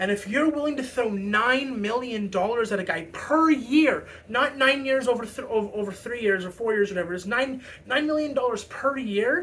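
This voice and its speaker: Over noticeable background noise, a speaker with a Canadian accent talks with hardly any pauses. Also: moderate pace. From Canada. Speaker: hockey fan commentator. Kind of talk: casual opinion monologue. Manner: halting, many fillers and repetitions.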